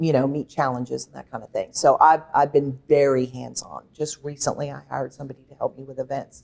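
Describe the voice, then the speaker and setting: Vocal fry, monotone, flat intonation, a fairly quick pace and big swings in loudness. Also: woman, very deep, low pitch for a woman. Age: 60s. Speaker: ranch and event venue owner. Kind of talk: interview. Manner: halting.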